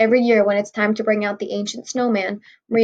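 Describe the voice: Against a quiet background comes plain reading aloud.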